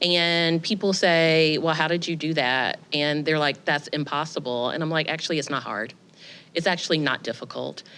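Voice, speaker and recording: A woman's fairly low-pitched voice in a Southern US accent. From US South. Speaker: editor. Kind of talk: panel discussion.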